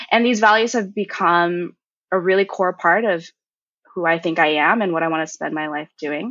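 In a Californian accent, a woman speaks at a moderate pace with a fairly low pitch and ordinary pitch variation. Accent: Californian American. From US West Coast, Cupertino, California. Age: 20s. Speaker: software developer and college student. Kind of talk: interview conversation.

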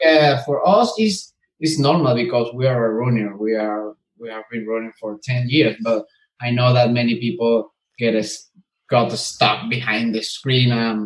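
Fairly slow speech from a man with a Spanish accent. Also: medium pitch for a man, ordinary pitch variation. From Venezuela. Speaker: mechanical engineer and bitcoin miner. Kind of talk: interview. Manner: halting.

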